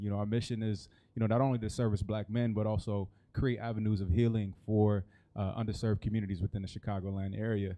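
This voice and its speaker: Very fast and monotone, a man with a fairly low pitch delivers his words in flat intonation. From US Midwest, Kansas City, Missouri. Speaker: nonprofit co-founder. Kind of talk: panel discussion.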